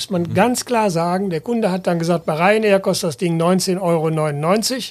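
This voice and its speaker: A man speaks at a moderate pace. His voice is high-pitched, with ordinary pitch variation. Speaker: travel company founder and managing director. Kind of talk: interview.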